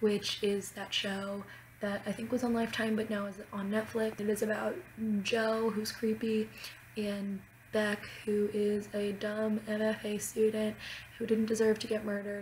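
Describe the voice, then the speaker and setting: Against noticeable background noise, a woman talks at a fairly high pitch and a fairly slow pace with monotone, flat intonation. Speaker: student. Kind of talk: casual talk to camera.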